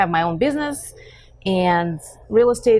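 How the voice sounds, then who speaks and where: A woman speaks with a Russian accent. Her pitch is medium and her pace moderate. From Russia, Western Siberia. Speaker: real estate agent. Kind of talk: casual interview.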